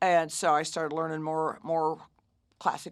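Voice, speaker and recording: A woman's very deep, low voice with an American accent, on a very clean recording with a silent background. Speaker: blues singer and bandleader. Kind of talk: casual interview.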